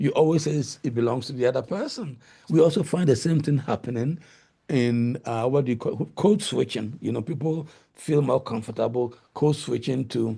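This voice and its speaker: Somewhat breathy with a dark, mellow tone, a man speaks at a moderate pace. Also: medium pitch for a man, ordinary pitch variation. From Ghana. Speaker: linguistics professor. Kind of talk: lecture.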